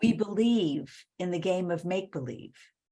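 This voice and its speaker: A woman speaks with an American accent at a moderate pace and medium pitch. Her voice is somewhat breathy, with a dark, mellow tone and lively intonation. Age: 70s. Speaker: author and women's leadership speaker. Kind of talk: interview conversation.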